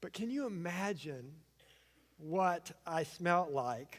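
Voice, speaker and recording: Animated in tone, this man speaks. His pitch variation is ordinary. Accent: Southern US. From US South, eastern Arkansas. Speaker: pastor. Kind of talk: sermon. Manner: animated storytelling.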